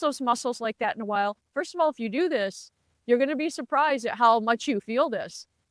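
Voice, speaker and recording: At a very fast pace, a woman with a fairly high pitch speaks with lively intonation, recorded dry and close with no echo over a silent background. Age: 60s. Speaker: lifestyle vlogger. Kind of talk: casual advice talk to camera. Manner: conversational.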